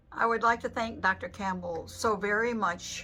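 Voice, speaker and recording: A woman speaks with music in the background. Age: 80s+. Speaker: patient. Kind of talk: patient testimonial.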